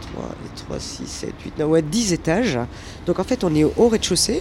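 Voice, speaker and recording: A woman's lively intonation amid noticeable background noise. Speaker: humanitarian aid mission head. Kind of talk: guided tour interview.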